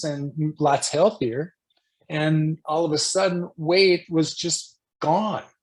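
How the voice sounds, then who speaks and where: A man's fairly high-pitched voice, an ordinary speaking voice. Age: 60s. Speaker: spiritual guest. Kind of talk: interview. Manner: casual.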